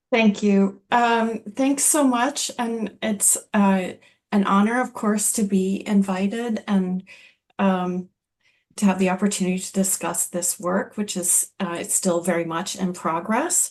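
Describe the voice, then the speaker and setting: A woman speaks in a plain, everyday voice at a fairly slow pace. Her pitch is medium with ordinary variation. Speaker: philosophy professor. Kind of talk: academic lecture. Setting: online talk, video call.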